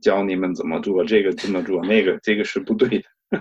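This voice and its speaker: The speaker is a man with a German accent. He keeps a moderate pace. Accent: German accent in Mandarin. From Germany. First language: German (speaking Chinese). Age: 50s. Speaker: stuttering advocate. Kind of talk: interview. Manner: halting.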